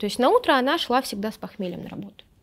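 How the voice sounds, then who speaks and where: A woman with a lively, bouncy intonation. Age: 20s. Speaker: blogger and feminist activist; blogger. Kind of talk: casual chat. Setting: studio. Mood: candid, recalling hard childhood. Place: studio.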